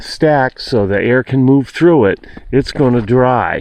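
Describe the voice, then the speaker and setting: Over noticeable background noise, a man speaks at a fairly slow pace with medium pitch and ordinary pitch variation. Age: 60s. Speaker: homeowner showing firewood storage. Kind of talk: casual video walkthrough. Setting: outdoors. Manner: halting, many fillers.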